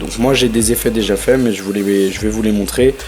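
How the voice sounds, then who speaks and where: A man keeps a moderate speed while music plays in the background. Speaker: tutorial youtuber. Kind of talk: tutorial. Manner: hesitant, many fillers; casual.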